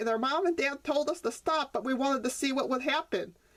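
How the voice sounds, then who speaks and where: Using a put-on character voice, a woman speaks high and at a fairly quick pace. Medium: read story.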